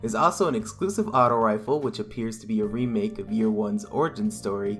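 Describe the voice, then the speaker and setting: With music in the background, a man talks at a fairly quick pace with lively intonation. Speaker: video game news host. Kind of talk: gaming news commentary. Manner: nervous-sounding.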